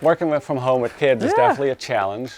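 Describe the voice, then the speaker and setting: Recorded very cleanly against a silent background, a man with a Dutch accent speaks with fairly even intonation. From Netherlands. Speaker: snowboard binding engineer. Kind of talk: documentary interview answer. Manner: soft-spoken.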